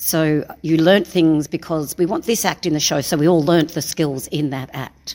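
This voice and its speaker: Over a very clean recording with a silent background, a woman with an Australian accent speaks at a very deep, low pitch. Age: 60s. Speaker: circus performer. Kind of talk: interview.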